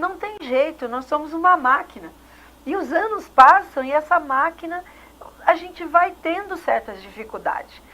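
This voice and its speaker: A woman's extremely high, raised and projected voice, bright and sharp, at a fairly slow pace, with lively intonation and big swings in loudness. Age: 60s. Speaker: TV host. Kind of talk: TV interview. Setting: TV studio.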